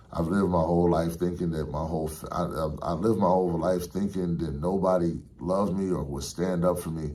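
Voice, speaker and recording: There's audible room echo around a man with a very deep, low pitch. He speaks with hardly any pauses. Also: fairly quick pace. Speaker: barber and spiritual vlogger. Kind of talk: casual monologue vlog. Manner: animated; fast.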